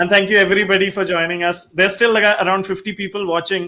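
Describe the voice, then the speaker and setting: A man projects his raised voice at a high pitch. His tone is bright and sharp. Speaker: online talk show host. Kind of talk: live stream chat. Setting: Facebook Live video call. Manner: fast.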